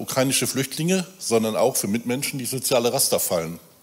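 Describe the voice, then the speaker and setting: This man has an unremarkable speaking voice at a medium pitch, with lively intonation and a fairly quick pace. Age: 50s. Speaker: church volunteer. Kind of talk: sermon. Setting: church.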